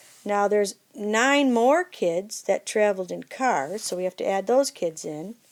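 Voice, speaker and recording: A woman with a plain, everyday voice talks at a fairly slow pace and medium pitch over a very clean recording with a silent background. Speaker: math teacher. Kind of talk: tutorial.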